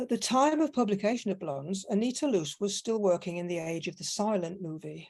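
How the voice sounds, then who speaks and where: A woman in a Manchester accent, medium in pitch, fairly quick, with lively intonation and hardly any pauses. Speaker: academic conference panelist. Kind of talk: conference paper reading. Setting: online conference.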